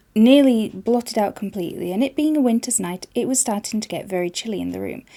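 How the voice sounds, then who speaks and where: Speaking with a Yorkshire accent, a woman has a fairly high pitch, a dark, mellow tone and lively intonation, recorded very cleanly with a silent background. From Yorkshire, England. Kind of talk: fairy tale reading.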